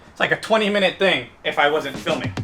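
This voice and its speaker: Talking at a very fast pace, a man speaks in an animated tone. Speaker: car vlogger. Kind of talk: casual vlog. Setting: outdoors at car meet. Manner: casual, animated.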